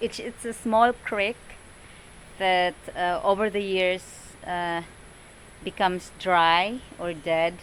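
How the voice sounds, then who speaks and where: In a Filipino accent, a woman speaks at a very slow pace with long, frequent pauses, a medium pitch and fairly even intonation. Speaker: farmer. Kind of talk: casual talk to camera.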